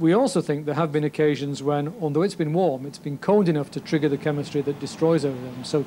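Against light background noise, a man speaks at a fairly quick pace with fairly even intonation. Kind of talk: interview answer. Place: office.

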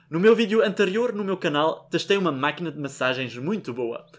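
Against a quiet background, a man speaks at a high pitch. His pitch swings very widely. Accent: Belgian. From Belgium. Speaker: youtuber; hair care vlogger. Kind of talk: tutorial. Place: home room.

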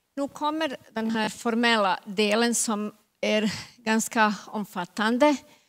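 Against a quiet background, a woman speaks very slowly at a fairly high pitch with ordinary pitch variation. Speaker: government agency officer; presenter. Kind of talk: panel Q&A. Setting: stage with audience. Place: hall. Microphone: handheld.

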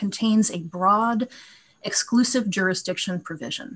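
Her speech moves at a moderate pace, its pitch varying in an ordinary way. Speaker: appellate lawyer. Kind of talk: oral legal argument. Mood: formal, measured. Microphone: video call.

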